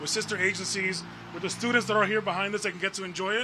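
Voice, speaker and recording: With an American accent, a man with a high pitch talks at a very fast pace in a raised, projected voice with monotone, flat intonation, against noticeable background noise. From New York City, the Bronx. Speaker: borough transportation commissioner. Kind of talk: press conference speech.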